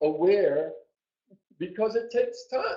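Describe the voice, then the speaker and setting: This man speaks at a fairly slow pace with ordinary pitch variation. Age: 70s. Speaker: human design teacher. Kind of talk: webinar presentation. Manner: halting.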